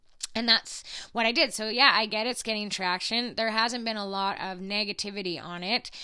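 A woman speaks at a fairly quick pace with fairly even intonation. Her pitch is fairly high and her tone bright and sharp. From small town Alberta, Canada. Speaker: podcast host and social media influencer. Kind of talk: angry rant, passionate and unscripted, about pandemic lockdowns and media coverage. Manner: unscripted, speaking from the heart.

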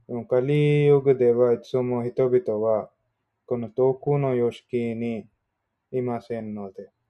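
A man's medium-pitched voice at a very slow pace, fairly even in intonation, with big swings in loudness. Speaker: study group participant. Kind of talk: explanation in group discussion. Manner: halting.

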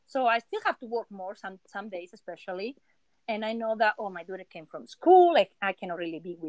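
Speaking with a Spanish accent, a woman talks at a fairly quick pace in a fairly high pitch with lively intonation and big swings in loudness, the sound dry and close with no echo. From Spain. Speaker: illustrator and surface pattern designer. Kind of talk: casual interview chat. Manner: halting.

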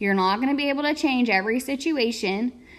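Speaking at a moderate pace with lively intonation, a woman has a normal speaking voice. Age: 20s. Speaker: podcast host. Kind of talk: motivational talk.

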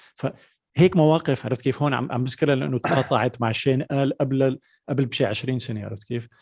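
At medium pitch and a moderate pace, a man speaks with fairly even intonation in a dry, close sound with no echo. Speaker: podcast host. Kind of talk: casual interview. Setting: video call.

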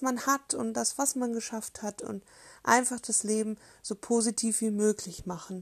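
On a very clean recording with a silent background, a somewhat breathy woman speaks with fairly even intonation. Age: 30s. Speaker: podcaster, self-love activist. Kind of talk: casual monologue introduction.

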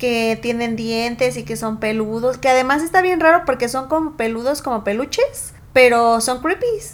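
A woman with a high-pitched voice speaks with hardly any pauses. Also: ordinary pitch variation, moderate pace. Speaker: podcast co-host. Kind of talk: casual chat.

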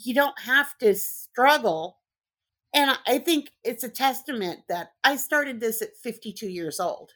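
On a very clean recording with a silent background, a woman with an American accent speaks at a fairly slow pace, with a high pitch and lively intonation. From Southern California. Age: 50s. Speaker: construction inspector. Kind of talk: interview. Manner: animated.

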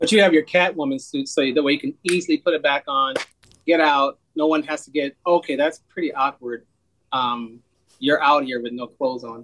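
Ordinary pitch variation marks a man's voice as he speaks at a fairly quick pace. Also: fairly high pitch for a man. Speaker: podcast co-host. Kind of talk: podcast interview. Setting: video call. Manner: animated.

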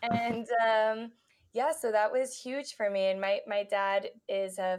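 A woman with an American accent speaks at a medium pitch. Hers is a plain, everyday voice with fairly even intonation. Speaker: physical therapist. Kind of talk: casual interview.

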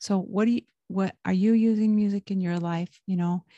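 Against a quiet background, a woman with a dark, mellow, somewhat breathy voice speaks at a moderate pace in a dry, close sound with no echo. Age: 40s. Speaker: religious podcast host. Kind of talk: casual devotional monologue. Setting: home. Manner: hesitant with many fillers.

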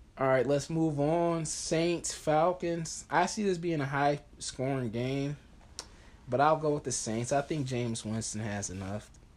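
A man with an ordinary speaking voice talks at a fairly slow pace in a fairly high pitch, with ordinary pitch variation. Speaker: sports podcast host. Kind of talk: casual sports chat. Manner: casual, opinionated.

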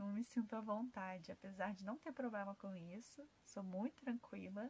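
With a fairly high pitch and a somewhat breathy quality, a woman talks at a moderate pace. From Rio de Janeiro, Brazil. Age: 20s. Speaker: holistic therapist. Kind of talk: podcast monologue. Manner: halting.

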